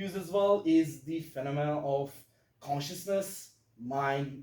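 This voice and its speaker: A man speaks with a Turkish accent. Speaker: physics student giving a talk. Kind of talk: lecture. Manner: halting, many fillers.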